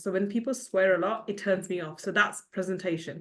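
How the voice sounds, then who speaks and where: Over a quiet background, a woman speaks at a very fast pace. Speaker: podcast host. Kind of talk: interview. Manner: speeds up when excited.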